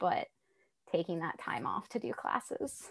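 A woman at medium pitch speaks at a moderate pace in a normal speaking voice with an American accent. The sound is dry and close with no echo, over a quiet background. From US South, Tennessee. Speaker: robotics PhD student and rover engineer. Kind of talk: interview, casual chat.

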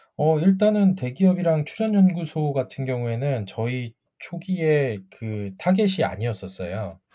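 On a very clean recording with a silent background, a man with a dark, mellow, somewhat breathy voice at a fairly high pitch swings very widely in pitch, speaking at a fairly slow pace with hardly any pauses. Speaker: patent attorney. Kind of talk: casual interview.

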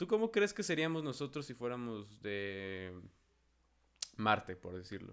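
A man at medium pitch, fairly slow, with long, frequent pauses, very wide pitch swings and big swings in loudness. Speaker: podcast host. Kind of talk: casual chat.

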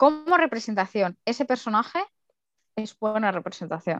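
In a dry, close recording with no echo, a woman talks in an ordinary speaking voice, fairly high in pitch, with lively intonation. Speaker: podcast co-host. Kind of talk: casual chat.

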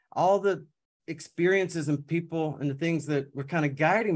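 A man talks in an unremarkable speaking voice at a fairly quick pace. His pitch is fairly high, with ordinary pitch variation. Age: 40s. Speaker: certified high performance coach. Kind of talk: casual interview.

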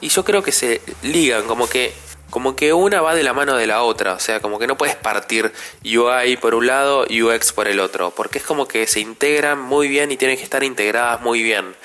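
A man with a Rioplatense accent talks at a moderate pace and a medium pitch, with ordinary pitch variation and noticeable background noise. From Argentina, Buenos Aires. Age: 30s. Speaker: podcast host, graphic designer. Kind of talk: casual solo podcast monologue.

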